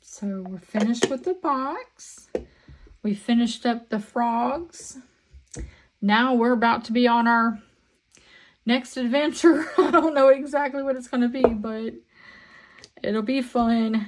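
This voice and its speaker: A woman talks at a fairly slow pace in a high voice, with ordinary pitch variation and big swings in loudness. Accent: Southern US. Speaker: resin crafter. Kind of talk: crafting tutorial chat. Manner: casual, chatty.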